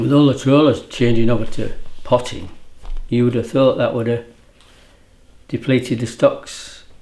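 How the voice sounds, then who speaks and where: With an East Yorkshire accent, a man speaks at a moderate pace in a dark, mellow tone, monotone and flat, leaving long, frequent pauses. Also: medium pitch for a man. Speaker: fisherman. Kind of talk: interview.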